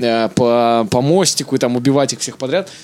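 A man talks at neither a fast nor a slow pace. Music can be heard behind him. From Kazakhstan, later Canada. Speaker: stand-up comedian. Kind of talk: casual chat. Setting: studio.

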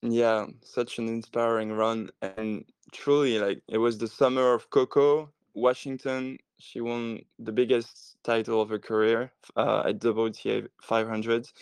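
A man at medium pitch speaks at a very slow pace in a monotone, flat intonation, the sound dry and close with no echo against a quiet background. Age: 20s. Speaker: tennis social media and marketing professional. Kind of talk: podcast interview. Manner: hesitant, many fillers.

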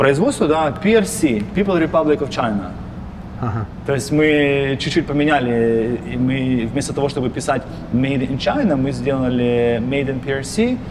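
With ordinary pitch variation, a man talks at a fairly slow pace amid audible room echo and noticeable background noise. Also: medium pitch for a man. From Ukraine. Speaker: company co-founder. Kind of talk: interview.

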